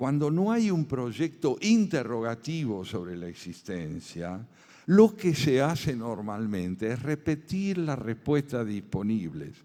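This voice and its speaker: The voice has a dark, mellow tone and moves at a very slow pace. Its pitch swings very widely. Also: man, medium pitch for a man. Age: 70s. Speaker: philosopher and essayist. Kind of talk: lecture. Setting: conference with audience.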